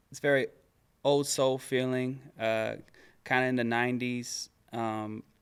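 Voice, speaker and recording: A man with an American accent, medium pitch and monotone, flat intonation, at a fairly slow pace with long, frequent pauses and big swings in loudness. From Dallas, Texas. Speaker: R&B singer. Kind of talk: interview. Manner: halting.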